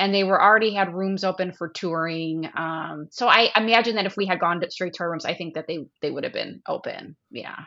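A normal speaking voice with an American accent, a fairly quick pace, ordinary pitch variation and hardly any pauses. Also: woman, medium pitch for a woman. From US Midwest. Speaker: travel agent, cruise guest. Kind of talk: casual chat, trip report.

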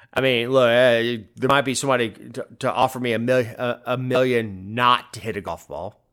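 The recording is very clean, with a silent background. A man of medium pitch speaks at a moderate pace with fairly even intonation. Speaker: podcast host. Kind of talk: casual political chat. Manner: halting, repeats words.

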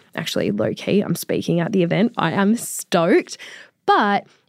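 A woman with an Australian accent talks at a fairly quick pace with lively intonation, and the sound is dry and close with no echo. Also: very clean recording, silent background. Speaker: finance podcast host. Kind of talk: casual chat. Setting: studio.

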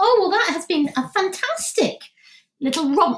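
Lively intonation marks the speech of a woman talking with a British accent. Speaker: podcast host. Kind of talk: casual interview. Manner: talkative.

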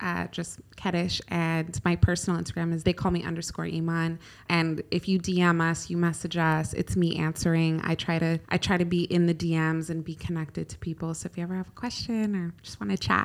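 A woman with an American accent talks at a fairly quick pace, with hardly any pauses. The recording is very clean, with a silent background. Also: fairly even intonation. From California, US (Egyptian family). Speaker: founder of a women's wellness brand. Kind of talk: podcast interview.

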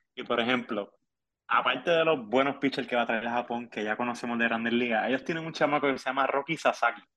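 Very fast talking from a man, his intonation fairly even. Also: medium pitch for a man. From Puerto Rico, Ponce. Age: 30s. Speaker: sports journalist. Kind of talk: casual chat.

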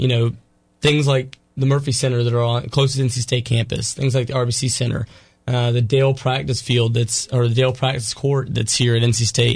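Over a quiet background, a man speaks at a moderate pace in a medium pitch, somewhat breathy and with monotone, flat intonation. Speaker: college sports editor. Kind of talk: casual radio interview.

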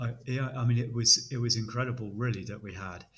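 With a British accent, the voice has a bright, sharp tone and fairly even intonation. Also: man. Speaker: British Army officer. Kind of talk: casual interview chat.

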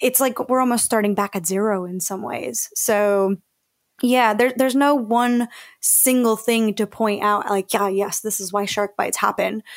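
A woman with an American accent speaks in an enthusiastic tone at a fairly high pitch and a moderate pace. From Mexico, later raised in the US. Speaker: shark scientist and wildlife educator. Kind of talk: radio interview.

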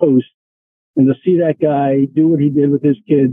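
A man with an unremarkable speaking voice talks at a fairly quick pace in a fairly high pitch. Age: 60s. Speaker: golf instructor. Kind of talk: casual chat.

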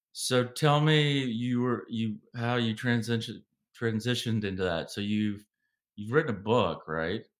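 A man with an American accent and an unremarkable speaking voice, medium pitch and a fairly slow pace. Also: ordinary pitch variation. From US South, Savannah, Georgia. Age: 40s. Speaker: podcast host. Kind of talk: interview.

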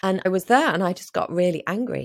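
On a very clean recording with a silent background, a woman speaks at a fairly low pitch with vocal fry and ordinary pitch variation. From northern England, Liverpool. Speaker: life coach and former journalist. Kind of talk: casual interview chat.

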